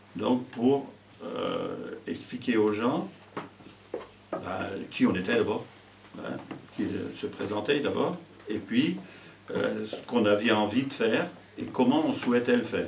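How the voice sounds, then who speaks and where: Amid audible room echo and noticeable background noise, a man speaks at a very slow pace with long, frequent pauses. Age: 70s. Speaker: mayor, retired teacher. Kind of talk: interview. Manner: hesitant, many fillers.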